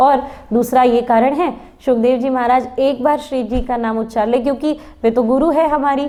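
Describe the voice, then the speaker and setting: Her tone is dark and mellow, with a high pitch for a woman. She keeps a moderate pace and fairly even intonation. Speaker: spiritual discourse speaker. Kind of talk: religious discourse.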